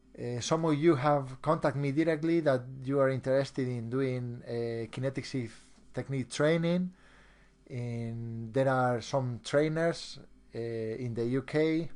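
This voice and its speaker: Against a quiet background, a man with a Spanish accent talks at a fairly slow pace. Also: medium pitch for a man, ordinary pitch variation. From Spain. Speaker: hypnotist and trainer. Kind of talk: online seminar presentation. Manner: halting, with many repeated words.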